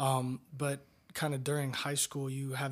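A man's somewhat breathy voice at medium pitch with an American accent and monotone, flat intonation, on a very clean recording with a silent background. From Florida, Tampa. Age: 20s. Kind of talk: casual interview.

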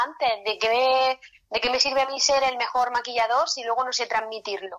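Talking at a fairly quick pace, a woman has a high pitch. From Spain, Murcia region (small town). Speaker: makeup artist. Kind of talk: interview.

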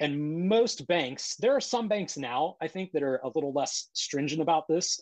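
A man with a Midwestern American accent speaks in a fairly high pitch against a quiet background. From Ohio, US Midwest (Columbus). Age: 30s. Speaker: Bitcoin advocate and cybersecurity worker. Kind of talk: casual interview. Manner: halting, repeats words.

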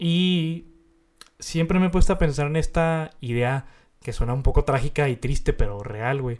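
A man speaks with a Mexican accent in a fairly high voice. His pace is fairly slow, and his pitch varies in an ordinary way. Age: 20s. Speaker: podcast host. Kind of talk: casual chat.

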